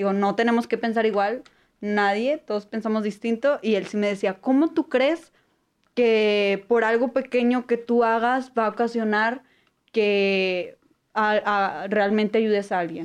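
A woman with an unremarkable speaking voice talks at a fairly slow pace and fairly high pitch, with ordinary pitch variation. Her loudness stays very even against a quiet background. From Apodaca, Nuevo León, northern Mexico. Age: 20s. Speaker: international relations student. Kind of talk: casual interview.

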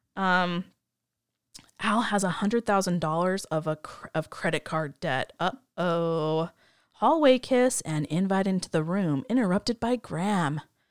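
A woman with an unremarkable speaking voice talks at a medium pitch and fairly slow pace, with lively intonation. The very clean recording has a silent background and a dry, close sound with no echo. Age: 30s. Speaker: podcast host. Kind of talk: casual chat.

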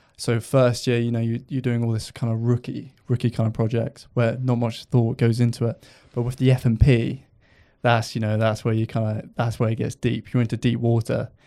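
In a southern English accent, a man speaks at a medium pitch and moderate pace, his tone dark and mellow and his intonation monotone and flat, on a very clean recording with a silent background. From Hampshire, southern England. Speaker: video editor. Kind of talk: casual chat. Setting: studio.

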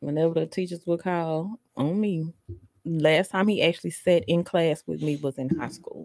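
In an ordinary speaking voice, a woman with a fairly low pitch and ordinary pitch variation speaks at a moderate pace, the sound dry and close with no echo. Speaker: podcast co-host. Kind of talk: casual group podcast banter.

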